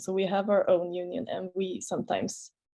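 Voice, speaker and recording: A woman with a Swedish accent speaks at a moderate pace. Her medium-pitched voice has a dark, mellow tone. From Sweden. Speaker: master's student on a panel. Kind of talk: webinar panel answer.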